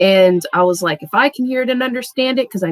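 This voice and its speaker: A woman at a fairly quick pace, lively intonation, dry, close sound with no echo. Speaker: tarot reader. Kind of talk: casual tarot reading livestream. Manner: fast; scattered.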